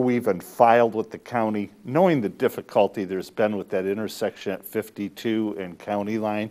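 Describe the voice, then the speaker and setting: A man speaks at a moderate pace on a very clean recording with a silent background. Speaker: attorney for petitioners. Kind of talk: public meeting presentation. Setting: village board meeting room. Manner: loud.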